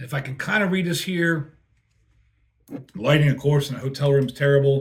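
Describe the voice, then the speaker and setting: A man's somewhat breathy, fairly high voice at a fairly quick pace, with ordinary pitch variation. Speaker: beer reviewer, touring crew member. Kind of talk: casual product review. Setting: hotel room.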